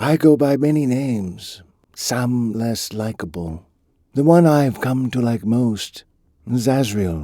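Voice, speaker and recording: Drawling, the speaker puts on a character voice. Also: man, medium pitch for a man, fairly slow pace, very clean recording, silent background. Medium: read story. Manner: menacing.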